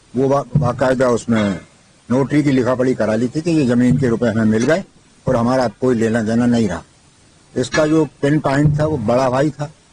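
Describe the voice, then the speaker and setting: Noticeable background noise accompanies a man speaking at a moderate pace and medium pitch, with ordinary pitch variation. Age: 70s. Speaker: complainant in a land fraud case. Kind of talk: news interview. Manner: halting.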